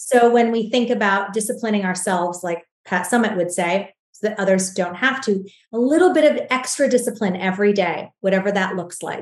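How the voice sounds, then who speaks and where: This woman has an unremarkable speaking voice, a medium pitch and a fairly quick pace. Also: ordinary pitch variation, hardly any pauses. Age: 40s. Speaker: skincare entrepreneur. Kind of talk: interview.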